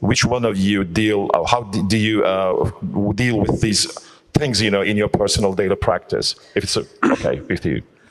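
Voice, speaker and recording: Noticeable background noise sits behind a man's voice. He talks at a moderate pace with fairly even intonation. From Turkey. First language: Turkish. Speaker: eye surgeon. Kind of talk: panel discussion. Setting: conference hall with audience. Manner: halting.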